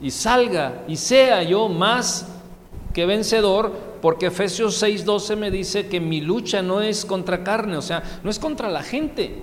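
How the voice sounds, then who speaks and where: A man's high voice at a very slow pace, with ordinary pitch variation, noticeable background noise and audible room echo. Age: 30s. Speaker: pastor. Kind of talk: sermon.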